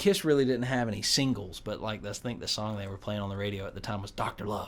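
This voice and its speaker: With a North Carolina accent, a man speaks at a fairly quick pace in a fairly low pitch and with fairly even intonation. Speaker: guitarist and producer. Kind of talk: radio interview. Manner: halting, many repetitions.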